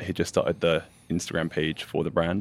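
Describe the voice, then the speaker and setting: Here a man talks at a fairly quick pace. He speaks with an English accent. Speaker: brand designer, powerlifter. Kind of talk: casual chat.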